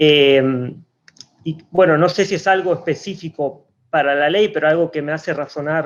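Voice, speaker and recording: Fairly even intonation marks this man's speech, which sits at a fairly high pitch. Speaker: linguist. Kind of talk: academic panel discussion. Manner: fast; halting, with repetitions and fillers.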